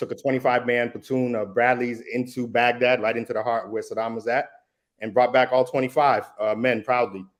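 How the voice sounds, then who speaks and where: A very fast delivery in a Massachusetts accent. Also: man. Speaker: defense attorney and army veteran. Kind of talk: casual discussion.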